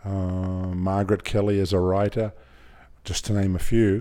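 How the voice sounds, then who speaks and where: This man has a fairly low pitch, a dark, mellow tone and an Australian accent. He speaks at a very slow pace on a very clean recording with a silent background. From Australia (Griffith, rural New South Wales). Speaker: film director. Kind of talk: interview. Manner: halting.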